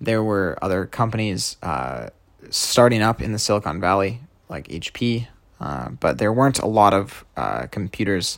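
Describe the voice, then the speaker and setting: Moderate pace from a man with a fairly low pitch, lively intonation and vocal fry. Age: 20s. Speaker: podcaster, programmer. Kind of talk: solo monologue podcast.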